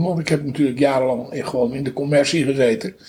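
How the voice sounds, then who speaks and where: A man at a fairly high pitch, over noticeable background noise. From North Holland, Netherlands (Haarlem). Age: 70s. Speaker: musician. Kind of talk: interview. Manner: halting.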